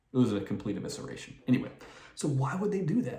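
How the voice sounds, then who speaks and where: With an American accent, a man speaks at a medium pitch amid audible room echo. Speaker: political commentator. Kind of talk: casual commentary monologue. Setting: at home late at night. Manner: quiet, reserved.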